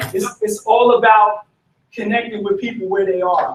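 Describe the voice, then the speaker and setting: A man speaks in a high pitch. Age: 40s. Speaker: party communications chair, panelist. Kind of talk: panel discussion.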